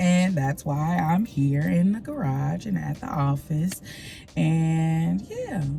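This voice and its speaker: Over music in the background and audible room echo, a woman speaks at a very slow pace. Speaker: lifestyle vlogger. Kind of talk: casual vlog talk to camera. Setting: parking garage at the office. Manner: relaxed, rambling with fillers.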